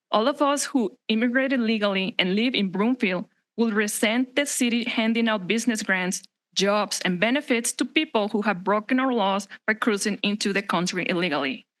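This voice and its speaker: With a Spanish accent, a woman speaks at a fairly high pitch and a moderate pace, her loudness very even, over a quiet background. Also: ordinary pitch variation. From Mexico. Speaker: resident speaking at public comment. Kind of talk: public comment speech. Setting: city council meeting. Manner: formal.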